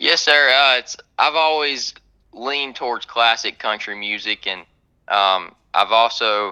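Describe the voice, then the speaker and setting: A man speaks at a fairly slow pace with a North Carolina accent, his pitch medium and his pitch variation ordinary. His tone is bright and sharp, and the background is quiet. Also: dry, close sound with no echo. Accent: Southern US (North Carolina). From US South, North Carolina. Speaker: country singer-songwriter. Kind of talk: radio interview. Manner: hesitant, many fillers.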